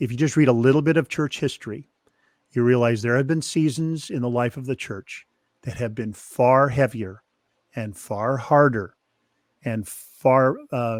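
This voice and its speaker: An ordinary speaking voice from a man, medium in pitch with ordinary pitch variation, at a moderate pace on a very clean recording with a silent background. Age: 60s. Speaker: author and ministry consultant. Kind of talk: interview conversation.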